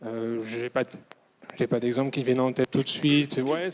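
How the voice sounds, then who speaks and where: The man's voice sits at a fairly high pitch, delivered in a flat monotone. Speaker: audience member asking questions. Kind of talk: audience question at a conference. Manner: hesitant, many fillers.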